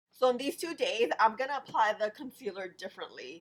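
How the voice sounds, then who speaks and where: A woman's high voice, fairly quick, with very wide pitch swings. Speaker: beauty vlogger. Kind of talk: makeup review tutorial. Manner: casual, chatty.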